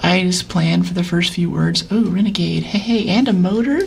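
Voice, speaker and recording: Over noticeable background noise and audible room echo, a woman talks at a fairly quick pace in a calm tone. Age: 60s. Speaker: streamer. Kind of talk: live gameplay commentary.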